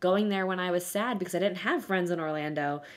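A woman speaks with an American accent at a fairly low pitch. Her intonation stays fairly even. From South Florida. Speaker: podcast co-host. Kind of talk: casual chat. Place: home room.

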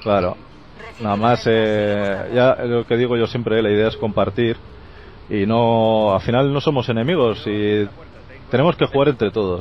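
The voice moves at a fairly slow pace with very even loudness, in a dry sound with no echo and light background noise. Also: man. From Spain. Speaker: gaming youtuber. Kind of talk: casual chat. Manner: animated.

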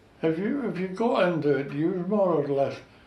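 Audible room echo surrounds a man speaking at a moderate pace with lively intonation. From North East Scotland, Gourdon fishing village; North East Scotland. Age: 90s. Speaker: war veteran and retired fishing skipper. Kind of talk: oral history interview. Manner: halting, repeats words. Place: home room. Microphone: camera far.

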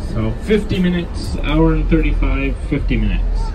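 The speech moves at a moderate pace. Background noise is noticeable. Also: man. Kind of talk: passenger announcement. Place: bus.

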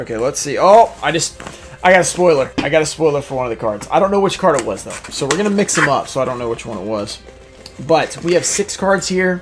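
A man talking at a very fast pace, with clear music in the background. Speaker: trading card collector youtuber. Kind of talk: casual vlog chat.

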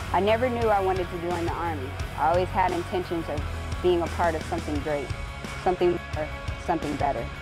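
A woman with an American accent at a very fast pace, with clear music in the background. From Orlando, Florida. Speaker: army recruiter. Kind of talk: recruiting testimonial to camera. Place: street.

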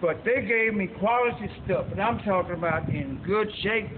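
A man with a high pitch speaks at a moderate pace with ordinary pitch variation, light background noise behind him. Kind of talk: testimonial. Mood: grateful, emotional. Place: factory. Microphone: camera far.

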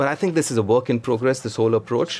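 A man is heard over noticeable background noise. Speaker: former cricketer, pundit. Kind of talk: cricket analysis discussion.

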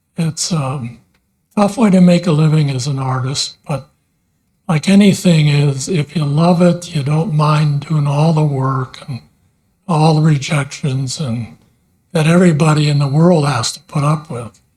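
A man's somewhat breathy, fairly high voice with ordinary pitch variation, at a fairly slow pace. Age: 80s+. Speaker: artist. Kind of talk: public comment at council meeting. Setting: city council meeting.

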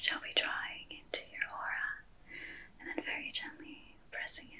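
A soft-spoken woman whispers at a moderate pace, with big swings in loudness over light background noise. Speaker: energy healing guide. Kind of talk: gentle ASMR-style guided talk. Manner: soft whispered ASMR guidance. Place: home room.

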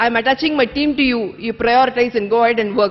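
A woman with a high pitch talks at a fairly quick pace with ordinary pitch variation. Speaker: convention organizer. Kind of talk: thank-you speech. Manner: energetic. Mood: warm, grateful. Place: tent. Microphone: podium.

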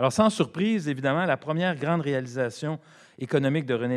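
Lively intonation runs through a man's very fast speech. Nothing disturbs the quiet background. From Quebec. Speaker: economics professor and former politician; economics professor, former politician. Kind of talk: panel presentation. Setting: conference with audience. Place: hall. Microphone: podium.

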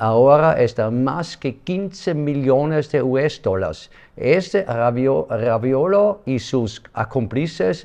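Against a quiet background, a man with a non-native accent speaks at a very slow pace and medium pitch with lively intonation. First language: not Spanish (speaking Spanish). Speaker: project president. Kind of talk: interview; interview answer. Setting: office. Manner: halting. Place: office.

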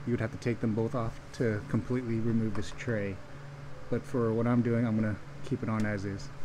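The speaker is a man talking at a fairly quick pace. Background noise is noticeable. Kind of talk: tutorial. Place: garage. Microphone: phone near.

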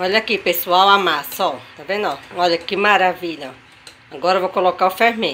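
The voice moves at a moderate pace with ordinary pitch variation amid noticeable background noise. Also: woman. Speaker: cooking youtuber. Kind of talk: cooking tutorial. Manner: animated.

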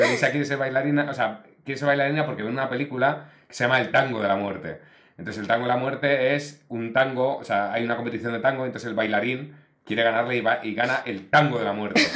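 This man speaks at a very fast pace with ordinary pitch variation. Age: 40s. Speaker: podcast host. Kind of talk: casual interview chat. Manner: animated. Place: studio. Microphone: studio mic.

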